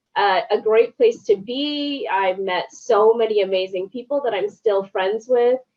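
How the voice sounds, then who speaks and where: Pitched fairly high, a woman speaks at a fairly slow pace with hardly any pauses and ordinary pitch variation. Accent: strong Canadian. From Canada, Toronto (Scarborough). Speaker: journalist. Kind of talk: casual interview chat.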